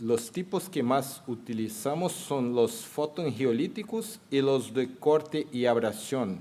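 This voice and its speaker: A man speaks at a medium pitch with a Brazilian accent. His intonation is lively, and his pace is very slow. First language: Portuguese (speaking Spanish). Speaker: surgeon and professor, panel moderator. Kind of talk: medical conference lecture.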